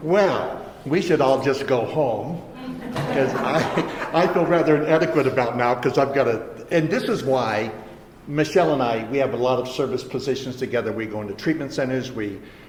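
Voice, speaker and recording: Amid audible room echo and noticeable background noise, a man speaks at a medium pitch and a moderate pace with ordinary pitch variation. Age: 70s. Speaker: recovery speaker. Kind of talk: recovery testimony talk. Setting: treatment center meeting with audience. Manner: halting, repetitive starts.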